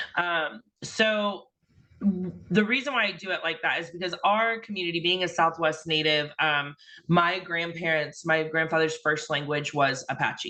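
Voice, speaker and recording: A woman speaks with a Midwestern American accent and a bright, sharp tone. Her pace is moderate and her pitch variation ordinary. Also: fairly low pitch for a woman. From Indiana, US. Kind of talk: invited talk. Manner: hesitant, many fillers.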